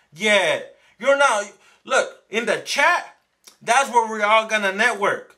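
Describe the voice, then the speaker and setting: An extremely high-pitched man's voice, bright and sharp, raised and projected, at a fairly slow pace with ordinary pitch variation. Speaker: small business owner and online entrepreneur. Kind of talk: live stream talk to chat viewers. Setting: live stream. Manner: stumbles over some words; casual, conversational.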